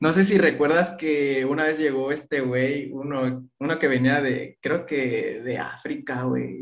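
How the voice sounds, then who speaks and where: At a very slow pace yet with hardly any pauses, a man talks in a fairly high pitch. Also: fairly even intonation. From Mexico, Chiapas. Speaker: content creator, former footballer. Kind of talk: casual chat.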